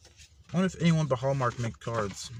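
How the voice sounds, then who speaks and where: Noticeable background noise sits behind a man's voice. His pitch variation is ordinary. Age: 20s. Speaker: gamer and spiritual vlogger. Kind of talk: casual vlog talk to camera.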